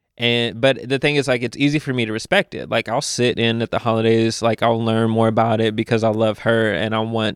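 A man with a Southern US accent at medium pitch, fairly even intonation, and a dry, close sound with no echo in a very clean recording with a silent background. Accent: somewhat Southern-sounding. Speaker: podcast guest. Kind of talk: casual chat.

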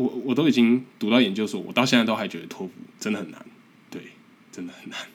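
Delivered at a very fast pace with long, frequent pauses, the speech shows big swings in loudness and ordinary pitch variation over noticeable background noise. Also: man, medium pitch for a man. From Taiwan. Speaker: podcast host, graduate student abroad. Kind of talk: casual solo monologue. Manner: halting, with repetitions.

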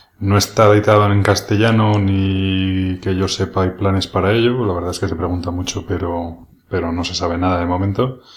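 This man speaks in a very deep, low pitch with a monotone, flat intonation, somewhat breathy, at a moderate pace with hardly any pauses, on a very clean recording with a silent background. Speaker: board game podcaster. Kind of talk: solo podcast monologue. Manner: hesitant, many fillers. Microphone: new microphone, rubbing on clothes in parts.

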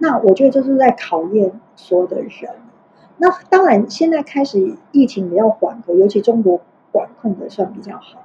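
At a moderate pace, a woman with a fairly high pitch makes very wide pitch swings and big swings in loudness. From Taiwan, Tainan. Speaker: HR director, former beauty-industry educator. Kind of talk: casual interview chat. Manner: halting, repeats words.

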